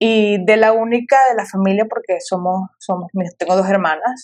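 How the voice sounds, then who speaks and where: A woman speaks in a normal speaking voice. Her intonation is fairly even. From Venezuela, Caracas. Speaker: sociologist and coffee entrepreneur, podcast guest. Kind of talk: casual interview conversation.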